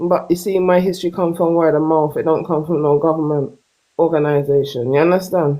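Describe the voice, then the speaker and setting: A woman speaks fairly quickly in a Jamaican accent. Her pitch is fairly low, her intonation fairly even and her loudness very even. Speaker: caller on a live stream discussion. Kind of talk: live stream debate.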